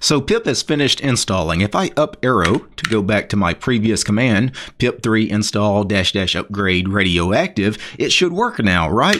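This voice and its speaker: A man with an ordinary speaking voice talks at a moderate pace and fairly low pitch with lively intonation. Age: 40s. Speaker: tech YouTuber. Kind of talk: tutorial.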